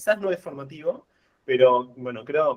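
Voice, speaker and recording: A man speaks with an Argentine accent. His pace is moderate and his pitch variation ordinary. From Argentina, La Plata. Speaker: physicist and researcher. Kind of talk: lecture. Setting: video call. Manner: hesitant, many fillers. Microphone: too quiet at start.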